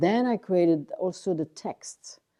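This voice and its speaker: A woman speaks in a French accent. Her tone is dark and mellow. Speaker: artist. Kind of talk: interview. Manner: halting.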